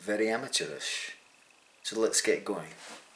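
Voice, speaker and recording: A man speaks with a Scottish accent. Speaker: amateur triathlete and vlogger. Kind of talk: casual vlog talk.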